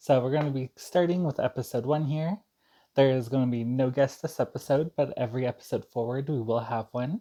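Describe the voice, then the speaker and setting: The recording is very clean and the background silent. The speaker talks at a fairly quick pace. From Saskatchewan, Canada. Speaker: talk show host. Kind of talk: casual chat.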